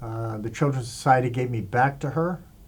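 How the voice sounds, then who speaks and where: A man's somewhat breathy, medium-pitched voice at a fairly slow pace. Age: 60s. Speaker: interviewee sharing life story. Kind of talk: interview testimony. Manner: hesitant, many fillers.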